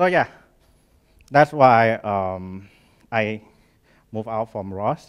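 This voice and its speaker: A man with a Thai accent speaks at a medium pitch and a very slow pace, pausing long and often. His loudness swings widely against a quiet background. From Thailand. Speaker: startup founder and engineer; conference presenter. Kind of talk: conference talk; technical conference talk. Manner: halting. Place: hall.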